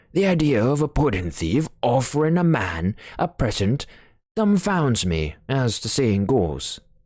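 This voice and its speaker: A man's put-on character voice at a medium pitch, with very wide pitch swings and a fairly slow pace. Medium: read story. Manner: blunt, gruff.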